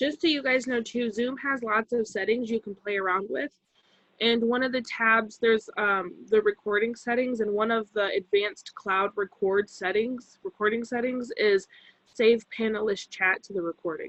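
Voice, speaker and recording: Recorded dry and close with no echo, a woman with an ordinary speaking voice talks at a fairly high pitch. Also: ordinary pitch variation, moderate pace. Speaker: instructor trainee. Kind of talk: online class discussion. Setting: video call.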